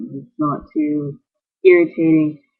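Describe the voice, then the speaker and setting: A soft-spoken man at a fairly slow pace. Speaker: vlogger. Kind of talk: video blog. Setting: borrowed bedroom. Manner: halting.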